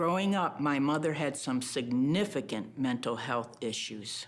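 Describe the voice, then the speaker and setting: An unremarkable speaking voice from a woman, fairly slow in pace with lively intonation, on a very clean recording with a silent background. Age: 60s. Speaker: reality TV participant. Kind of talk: confessional interview.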